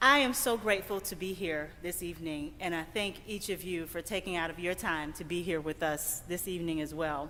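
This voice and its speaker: With an American accent, a woman talks at a fairly quick pace with hardly any pauses, her bright, sharp tone fairly low in pitch and showing ordinary pitch variation, with audible room echo around her. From US South, Greenville, Mississippi. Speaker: keynote speaker, environmental advocate. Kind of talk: keynote address. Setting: church sanctuary, stage with audience. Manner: animated, preacher-like.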